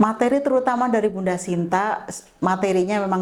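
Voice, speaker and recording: A woman speaks with a plain, everyday voice. Her pace is moderate and her intonation fairly even. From Indonesia, Tegal (Central Java). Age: 60s. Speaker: health camp participant. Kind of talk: testimony.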